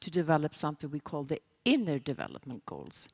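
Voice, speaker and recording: Recorded very cleanly against a silent background, a woman with a Swedish accent talks at a fairly quick pace in a dry, close sound with no echo. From Sweden. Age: 60s. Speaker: sustainability consultant. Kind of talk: conference keynote.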